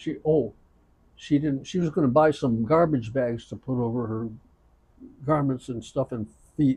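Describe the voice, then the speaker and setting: A somewhat breathy man's voice with a dark, mellow tone, ordinary pitch variation, moderate pace and long, frequent pauses. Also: medium pitch for a man. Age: 80s+. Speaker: elderly storyteller. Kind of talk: casual chat. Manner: halting.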